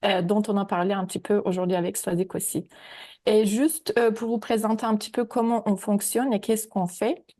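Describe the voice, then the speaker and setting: Against a quiet background, a woman with a dark, mellow tone talks at a fairly quick pace. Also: fairly high pitch for a woman, ordinary pitch variation. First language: not French (speaking French). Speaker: AI ethics researcher. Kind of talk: webinar presentation. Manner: hesitant, many fillers.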